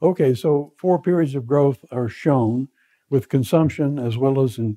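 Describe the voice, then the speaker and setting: Against a quiet background, a man with a dark, mellow tone speaks at a fairly slow pace with ordinary pitch variation. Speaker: lecturer. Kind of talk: lecture. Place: classroom.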